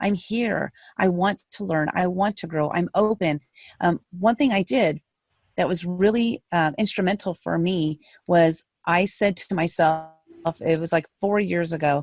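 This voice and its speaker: A woman with an ordinary speaking voice and an American accent, fairly low in pitch with ordinary pitch variation, at a fairly slow pace, in a dry, close sound with no echo and a quiet background. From USA. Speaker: author and speaker. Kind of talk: interview.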